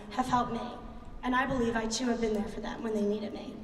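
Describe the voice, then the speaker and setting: Noticeable background noise and audible room echo surround a woman with a Philadelphia accent and a fairly high pitch. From US Northeast, Philadelphia area. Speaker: graduating student speaker. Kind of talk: commencement speech.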